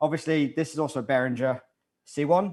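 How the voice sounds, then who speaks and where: With a fairly quick pace, a man speaks in fairly even intonation. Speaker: audio engineer. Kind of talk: live tutorial. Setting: live stream. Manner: fast. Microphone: too quiet.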